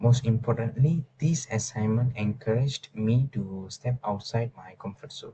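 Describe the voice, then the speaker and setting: A man with a non-native accent speaks at a moderate pace and medium pitch, his dark, mellow tone somewhat breathy, with ordinary pitch variation, big swings in loudness, hardly any pauses, and a dry, close sound with no echo. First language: not English. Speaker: university student. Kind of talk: class presentation. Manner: halting, with fillers and restarts; formal.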